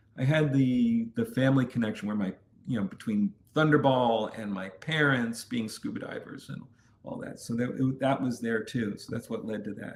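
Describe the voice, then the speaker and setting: With an American accent, a man uses a normal speaking voice, lively intonation and a moderate pace. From New York City. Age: 50s. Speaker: adventure content creator. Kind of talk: interview.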